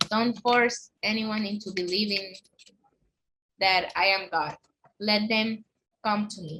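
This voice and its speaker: A woman with a Spanish accent speaks at a very slow pace with fairly even intonation. Her speech has long, frequent pauses. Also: medium pitch for a woman, big swings in loudness. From Honduras. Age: 20s. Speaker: guest sharing a religious conversion story. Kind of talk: testimony. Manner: halting.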